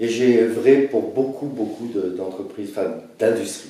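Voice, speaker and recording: The speech moves at a moderate pace. Noticeable background noise and audible room echo are present. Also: man. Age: 60s. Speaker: presidential candidate. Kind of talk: self-presentation interview. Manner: halting.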